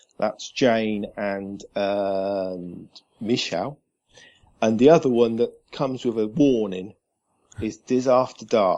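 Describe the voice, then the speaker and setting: Speaking with a British accent, a man uses a dark, mellow tone at a fairly low pitch, with ordinary pitch variation, a very slow pace, and long, frequent pauses. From southern England. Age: 40s. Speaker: podcast guest, Disney fan. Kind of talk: casual chat.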